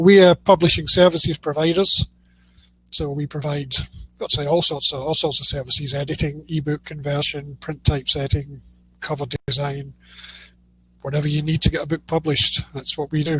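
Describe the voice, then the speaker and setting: With a Scottish accent, a man speaks fairly quickly in a fairly high pitch and a bright, sharp tone, keeping fairly even intonation broken by long, frequent pauses. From Scotland. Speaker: publishing services provider. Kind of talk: casual interview chat.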